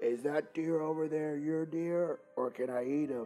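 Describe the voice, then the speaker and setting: Faint music plays in the background behind a put-on character voice at a middle pitch. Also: moderate pace. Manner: menacing, playful.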